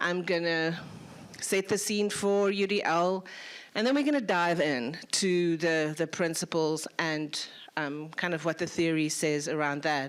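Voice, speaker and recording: At a fairly slow pace, a woman with a South African accent speaks at a fairly low pitch. Her loudness stays very even, and her pitch variation is ordinary. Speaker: lecturer. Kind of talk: lecture.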